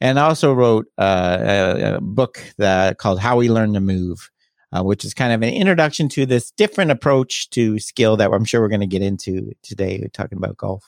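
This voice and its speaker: Recorded very cleanly over a silent background, dry and close with no echo, a man with a Canadian accent speaks at a fairly low pitch and moderate pace, with ordinary pitch variation and hardly any pauses. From Canada, Toronto area. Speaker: skill acquisition researcher. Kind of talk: interview. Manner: hesitant with repeated words.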